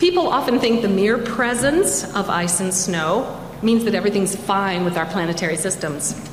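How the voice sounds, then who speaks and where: With hardly any pauses, a woman talks at a moderate pace amid audible room echo and noticeable background noise. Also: medium pitch for a woman, ordinary pitch variation. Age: 60s. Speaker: librarian and climate educator. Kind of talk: presentation talk. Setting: studio.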